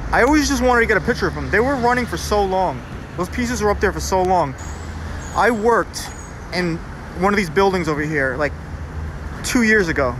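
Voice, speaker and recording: The talking moves at a fairly quick pace, with a dry sound that has no echo and noticeable background noise behind it. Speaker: graffiti tour narrator. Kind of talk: casual vlog chat. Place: street. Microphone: phone near.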